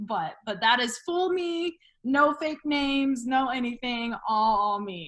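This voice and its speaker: With an American accent and lively intonation, the speaker moves at a very slow pace. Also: woman, high pitch for a woman. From Texas Panhandle (Stratford). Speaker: broadcaster. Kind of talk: casual chat. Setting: podcast interview. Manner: animated.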